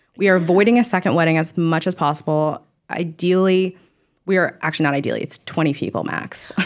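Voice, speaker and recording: Speaking very fast with an American accent, a woman uses a fairly low pitch with ordinary variation. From California, Orange County. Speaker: bride-to-be, fashion industry worker. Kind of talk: casual chat. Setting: studio.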